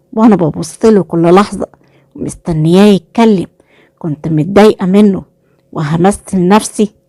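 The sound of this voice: An unforced reading voice, with ordinary pitch variation, comes through over a quiet background.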